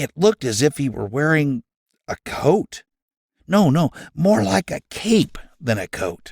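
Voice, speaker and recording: A man puts on a character voice, pitched fairly high, with very wide swings in pitch. He talks at a fairly slow pace and leaves long, frequent pauses. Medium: read story. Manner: dramatic storyteller.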